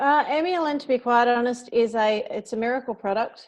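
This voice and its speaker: Over a quiet background, a woman with an Australian accent talks fairly quickly at a fairly high pitch. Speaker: network marketing distributor. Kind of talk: testimony. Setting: phone call. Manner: animated.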